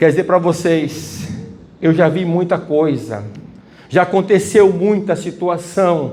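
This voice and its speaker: A man speaks at a very slow pace. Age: 60s. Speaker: preacher. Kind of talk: sermon.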